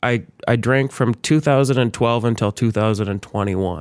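An American accent marks this man's unremarkable speaking voice, medium in pitch and moderate in pace, on a very clean recording with a silent background. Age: 30s. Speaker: church pianist and musician. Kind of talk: casual interview.

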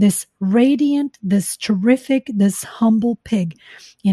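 This is a natural reading voice set against a quiet background.

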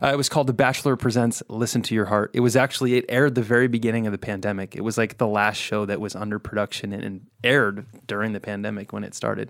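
A man with an American accent talks at a very fast clip with hardly any pauses, his fairly low voice keeping a fairly even intonation on a very clean recording with a silent background. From Southern California. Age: 30s. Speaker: country music singer. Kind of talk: casual chat. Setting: studio.

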